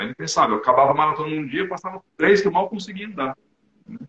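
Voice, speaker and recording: A man with a fairly high pitch. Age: 50s. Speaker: amateur triathlete and low-carb enthusiast. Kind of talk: casual interview. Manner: halting, many repeated words.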